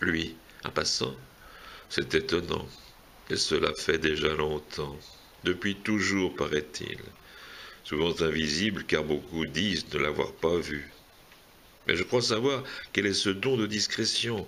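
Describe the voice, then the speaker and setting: Very slow and broken by long, frequent pauses, a man talks at a very deep, low pitch. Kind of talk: poetry reading. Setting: casual gathering among friends.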